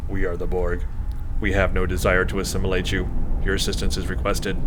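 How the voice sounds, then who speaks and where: Loud background noise fills the clip. A man rattles along in a put-on character voice at a very fast pace. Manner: emotionless, robotic.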